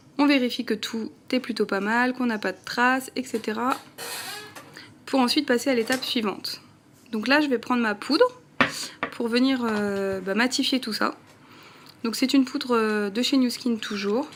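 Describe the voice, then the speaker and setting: The speech moves at a fairly slow pace with long, frequent pauses and fairly even intonation, over noticeable background noise. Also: woman, high pitch for a woman. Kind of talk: casual talk to camera, makeup tutorial. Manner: chatty, friendly.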